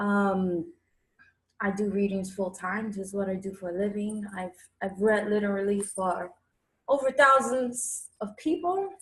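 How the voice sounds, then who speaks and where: A somewhat breathy woman with a New York accent, at a fairly slow pace, with ordinary pitch variation and long, frequent pauses. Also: medium pitch for a woman. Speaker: tarot reader. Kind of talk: interview. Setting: livestream.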